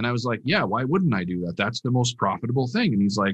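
A man with an American accent talks very fast in a somewhat breathy voice, his pitch swinging very widely. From Minnesota. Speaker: professional poker player and coach. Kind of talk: casual interview.

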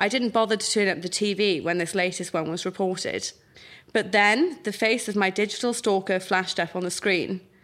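A woman with a South Wales accent talks at a fairly quick pace in a very clean recording with a silent background. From South Wales, Pontypridd. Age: 20s. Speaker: writer. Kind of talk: reading aloud.

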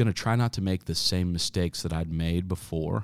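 On a very clean recording with a silent background, a man uses an unremarkable speaking voice at a moderate pace with ordinary pitch variation. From Kansas (Wichita). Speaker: marketing agency founder. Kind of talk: interview conversation.

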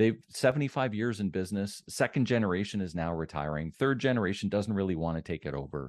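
An ordinary speaking voice from a man, fairly low in pitch with lively intonation, in a dry, close sound with no echo against a quiet background. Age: 50s. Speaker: business coach. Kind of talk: interview.

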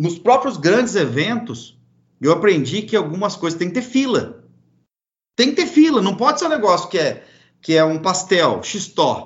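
A man's high-pitched voice at a moderate pace, with very wide swings in pitch. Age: 40s. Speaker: charcoal producer and pitmaster. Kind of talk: casual interview.

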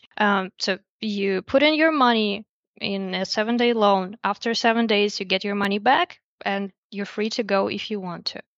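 A woman with a Russian accent, medium pitch, ordinary pitch variation, and a moderate pace. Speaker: investor relations specialist at a lending platform. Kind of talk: interview.

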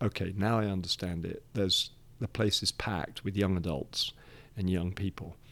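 Speaking fairly low for a man, he talks with a British accent. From Nigeria, to British parents; English. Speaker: church leader. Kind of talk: interview conversation. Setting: studio.

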